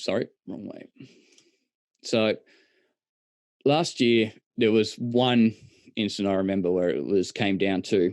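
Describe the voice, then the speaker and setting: Long, frequent pauses break up a man's fairly slow speech. His pitch is fairly low, with ordinary variation. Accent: Australian. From Australia. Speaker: presenter on lighting displays. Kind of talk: online presentation.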